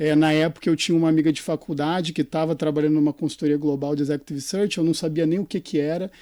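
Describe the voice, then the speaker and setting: In a Rio de Janeiro accent, a man talks very fast with hardly any pauses, his fairly high voice dark and mellow in tone but flat and monotone, in a dry, close sound with no echo. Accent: carioca accent, noticeable. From Brazil, Rio de Janeiro. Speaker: executive search consultant. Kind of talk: podcast interview.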